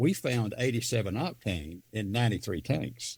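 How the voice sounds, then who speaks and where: A man speaks with an Alabama accent and vocal fry. His pitch swings very widely. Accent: US Southern (Alabama). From northeast Alabama. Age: 70s. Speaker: political candidate. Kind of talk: interview. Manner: animated.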